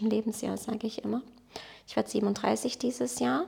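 A woman with a Portuguese accent at a fairly high pitch, ordinary pitch variation, and noticeable background noise. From Baden-Württemberg (Blaubeuren near Ulm), born in Portugal. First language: Portuguese (speaking German). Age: 30s. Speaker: photographer and entrepreneur. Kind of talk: casual interview conversation.

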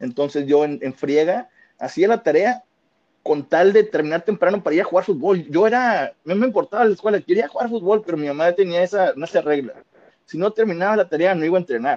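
The voice has lively intonation and a fairly quick pace, its sound dry and close with no echo. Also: man, high pitch for a man. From Monterrey, Nuevo León, Mexico. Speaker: football fan, podcast regular. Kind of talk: casual chat.

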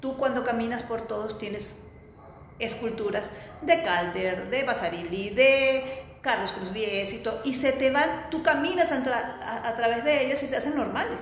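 A woman's high-pitched voice at a fairly slow pace, with ordinary pitch variation and noticeable background noise. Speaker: architect. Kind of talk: interview. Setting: in their office.

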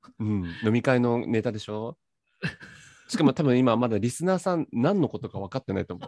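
Using a dark, mellow tone at medium pitch, a man talks at a fairly quick pace with lively intonation and long, frequent pauses, in a dry, close sound with no echo. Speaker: podcast host. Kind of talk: casual chat. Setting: video call.

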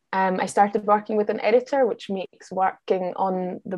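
A woman talks with a Glasgow accent at a medium pitch. Her pace is moderate and her intonation fairly even. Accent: Scottish-sounding, acquired in Glasgow. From Austria, Vienna. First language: German. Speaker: travel writer and podcaster. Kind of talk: casual interview.

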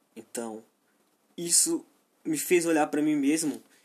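With a Brazilian accent, a man speaks at a moderate pace in a high pitch, his intonation lively. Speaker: podcaster. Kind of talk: solo monologue. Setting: home, at his PC while gaming. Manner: halting.

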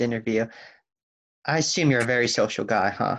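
Vocal fry marks the fast speech of this man.

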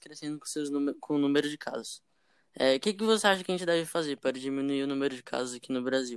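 Very fast speech in a very clean recording with a silent background. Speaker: podcast host. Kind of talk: casual chat.

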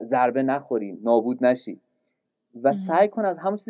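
Speaking fairly quickly, a man uses a dark, mellow tone. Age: 30s. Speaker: literature lecturer and podcaster. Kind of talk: casual interview.

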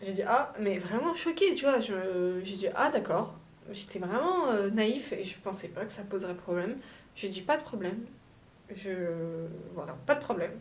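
Speaking at a fairly slow pace with long, frequent pauses, a woman's pitch swings very widely, with audible room echo and noticeable background noise around her. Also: medium pitch for a woman. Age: 20s. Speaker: young mother on maternity leave, start-up employee. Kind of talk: casual interview, personal testimony. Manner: lively, jokey.

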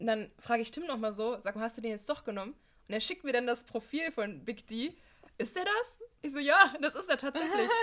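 A woman's high-pitched voice, bright and sharp, with very wide pitch swings at a fairly quick pace. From Halberstadt, Harz, central Germany. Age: 20s. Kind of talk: casual chat.

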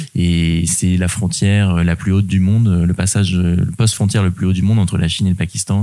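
With a very deep, low pitch and fairly even intonation, a man talks fairly quickly amid noticeable background noise. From Normandy, France (Rouen). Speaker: adventurer and public speaker. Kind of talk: interview conversation. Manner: hesitant, frequent fillers and repetitions.

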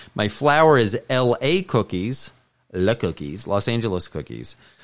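Using an unremarkable speaking voice, a man talks at medium pitch with lively intonation. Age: 50s. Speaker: podcast host. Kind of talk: casual chat.

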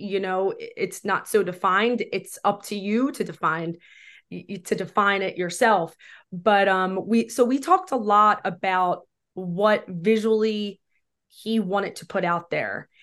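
In a normal speaking voice, a woman talks fairly slowly at medium pitch with fairly even intonation and big swings in loudness against a quiet background. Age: 40s. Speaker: film director. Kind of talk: casual chat.

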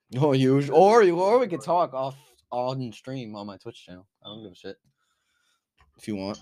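Talking at a moderate pace with a New Jersey accent, a man of medium pitch has a dark, mellow tone, lively intonation and long, frequent pauses. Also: big swings in loudness. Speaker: podcast host and streamer. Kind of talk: casual chat.

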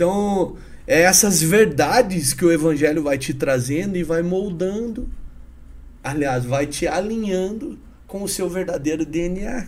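With audible room echo, a man speaks at a fairly slow pace in a high pitch with ordinary pitch variation. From Paraná, Brazil (Curitiba / northern Paraná). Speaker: businessman and evangelist. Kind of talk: casual interview chat with testimony.

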